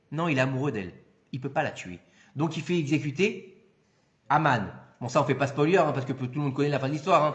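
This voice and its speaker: A man with a fairly high pitch and ordinary pitch variation talks at a very fast pace, yet with long, frequent pauses. Audible room echo surrounds the voice. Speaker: rabbi giving a Torah class. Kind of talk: lecture. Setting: hall with live audience. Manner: loud; animated.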